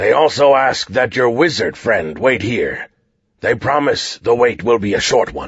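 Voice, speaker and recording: A raspy, put-on character voice comes through at a moderate pace. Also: man, medium pitch for a man. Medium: read story. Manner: formal, measured.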